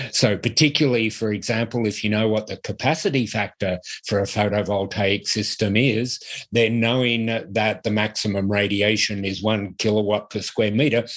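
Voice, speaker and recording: A man with a fairly low pitch speaks at a moderate pace and fairly even intonation in a very clean recording with a silent background. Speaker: university professor. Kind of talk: lecture. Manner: hesitant, with frequent fillers.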